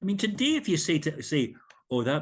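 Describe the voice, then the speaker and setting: A man's voice with very wide pitch swings and vocal fry. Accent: Scottish. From Scotland. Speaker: minister and hymn composer. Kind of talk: interview.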